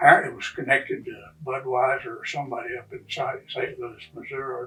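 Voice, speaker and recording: Music plays in the background as a man speaks. He has a West Texas accent and a moderate pace. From Lubbock, Texas. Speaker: longtime local resident. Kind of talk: oral history interview answer.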